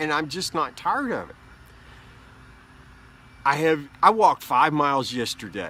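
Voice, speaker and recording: Against a silent background in a very clean recording, a man with a fairly high pitch and a bright, sharp tone uses lively intonation and vocal fry, pausing long and often. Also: moderate pace. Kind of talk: casual talk to camera. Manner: rambling, mumbling.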